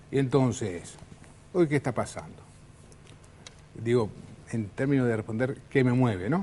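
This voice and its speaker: A man with a Uruguayan accent speaks at a medium pitch in a dark, mellow tone with lively intonation. He goes at a fairly slow pace, with long, frequent pauses. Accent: Uruguayan Spanish (Rioplatense). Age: 60s. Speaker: politician. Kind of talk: political interview.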